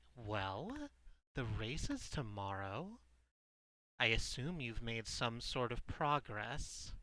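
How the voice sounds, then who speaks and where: A man puts on a character voice at medium pitch, moving at a very slow pace with long, frequent pauses. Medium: actual play. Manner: cool, businesslike.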